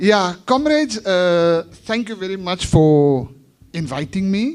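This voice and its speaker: The pace is very slow. Pitch swings very widely. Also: man, high pitch for a man. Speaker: union member receiving award. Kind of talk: acceptance speech. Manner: soft-spoken.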